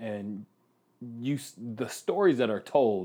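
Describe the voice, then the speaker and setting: A man's voice has a dark, mellow tone over a quiet background. His pitch swings very widely. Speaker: actor. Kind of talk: casual chat.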